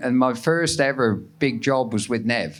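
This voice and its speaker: At a moderate pace, a man talks in a medium pitch. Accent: Cornish. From Cornwall, England. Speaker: surf photographer. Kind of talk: live podcast interview. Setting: live recording at a festival with audience.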